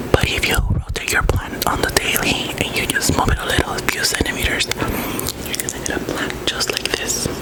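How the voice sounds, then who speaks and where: Someone whispers with hardly any pauses against noticeable background noise. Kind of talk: soft-spoken ASMR plant talk to camera. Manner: soft-spoken, slow.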